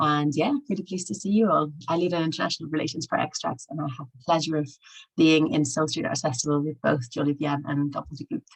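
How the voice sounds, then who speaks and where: Very fast delivery with ordinary pitch variation and big swings in loudness. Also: woman, very deep, low pitch for a woman. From Spain. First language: Spanish. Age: 30s. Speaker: international relations lead at arts organisation. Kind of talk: self-introduction. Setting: video call from a bedroom.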